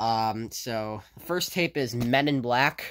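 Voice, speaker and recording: A man speaking very slowly, with ordinary pitch variation. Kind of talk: casual vlog chat. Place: home room. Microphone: phone near.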